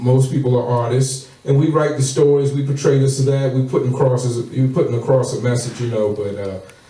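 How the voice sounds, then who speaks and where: A man talks at a fairly quick pace with hardly any pauses, at a medium pitch and fairly even intonation. Audible room echo and noticeable background noise come through the recording. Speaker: internet radio co-host. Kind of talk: casual interview.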